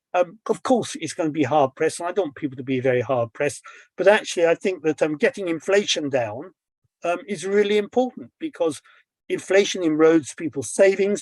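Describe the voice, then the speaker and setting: With a British accent and a high pitch, a man speaks at a fairly quick pace with lively intonation against a quiet background. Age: 70s. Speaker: financial journalist. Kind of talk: interview discussion. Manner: hesitant, many fillers.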